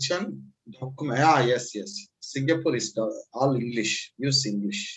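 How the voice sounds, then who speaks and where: Speaking slowly-ish in a Tamil accent, a man at medium pitch has lively intonation and a somewhat breathy sound. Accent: Indian Tamil English. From Tamil Nadu, India. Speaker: language student. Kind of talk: casual conversation lesson. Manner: halting.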